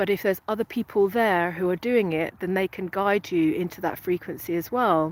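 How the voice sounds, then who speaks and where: A woman with a British accent speaks at a medium pitch and fairly quick pace, with hardly any pauses and fairly even intonation, in a very clean, dry, close recording with no echo and a silent background. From England. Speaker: spiritual coach. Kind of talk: live stream talk. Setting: outdoors. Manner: halting.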